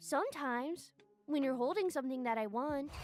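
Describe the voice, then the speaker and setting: A female-sounding cartoonish character voice, high in pitch, at a fairly quick pace. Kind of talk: comic cartoon voice. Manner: blunt, naive, crude.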